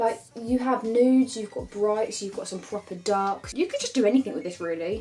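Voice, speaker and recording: A woman with a British accent speaks at a medium pitch with ordinary pitch variation. Noticeable background noise runs behind her. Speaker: beauty YouTuber. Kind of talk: makeup tutorial and product review. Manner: animated.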